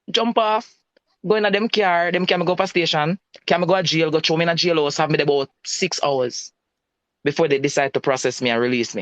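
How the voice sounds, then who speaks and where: Speaking at a very fast pace with lively intonation, someone with a Jamaican accent is heard in a dry, close sound with no echo. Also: man, high pitch for a man. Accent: Jamaican, patois-inflected. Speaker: citizen telling about a police encounter. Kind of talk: personal testimony in a live-stream chat.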